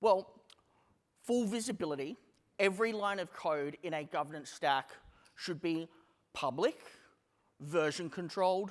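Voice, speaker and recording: With an Australian accent, a man with a high pitch and ordinary pitch variation speaks at a moderate pace with long, frequent pauses, on a very clean recording with a silent background. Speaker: company CEO giving a conference talk. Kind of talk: conference presentation. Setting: stage with audience. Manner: casual, with filler words.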